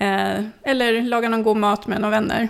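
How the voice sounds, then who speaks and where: Vocal fry from a woman, with fairly even intonation. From northern Sweden, Sollefteå. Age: 50s. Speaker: local politician. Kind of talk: interview.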